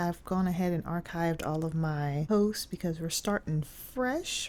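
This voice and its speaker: A woman speaks quietly at a moderate pace, her pitch fairly low with ordinary variation. Her tone is dark and mellow. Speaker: K-pop collector YouTuber. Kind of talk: tutorial. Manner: quiet, keeping voice down.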